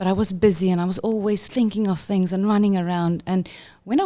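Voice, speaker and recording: With a South African accent, a woman speaks at a medium pitch in a dark, mellow tone on a very clean recording with a silent background. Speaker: head of inclusion for a school network. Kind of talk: podcast interview.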